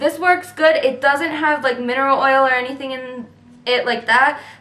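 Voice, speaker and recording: Amid audible room echo, a woman speaks at a fairly quick pace in a high pitch with a bright, sharp tone. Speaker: beauty vlogger. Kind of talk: product review vlog. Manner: fast; filler-heavy, says um often.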